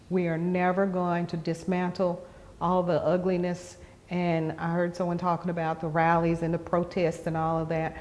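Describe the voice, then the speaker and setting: A woman with an American accent, fairly low-pitched, at a moderate pace in a monotone, flat intonation. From Western North Carolina. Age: 60s. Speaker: community elder interviewee. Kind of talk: interview. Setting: gallery of a cultural center.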